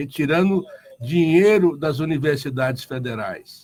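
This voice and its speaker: A fairly high-pitched man speaks at a fairly slow pace. His voice is somewhat breathy, with lively intonation. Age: 60s. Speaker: union leader. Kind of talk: radio interview.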